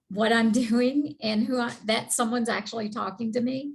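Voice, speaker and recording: The woman's voice is somewhat breathy. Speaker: sales trainee. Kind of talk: question on a call. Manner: animated.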